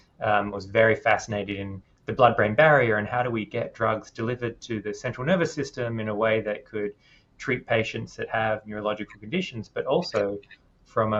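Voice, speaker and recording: With an Australian accent, a man speaks at a medium pitch and a fairly quick pace. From Western Australia. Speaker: neuroscientist. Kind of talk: interview.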